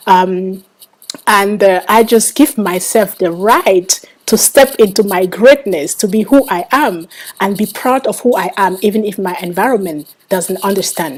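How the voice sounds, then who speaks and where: A woman with a Cameroonian accent, medium in pitch, fairly slow, with ordinary pitch variation. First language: Bangwa. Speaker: author. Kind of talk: interview. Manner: halting, many fillers.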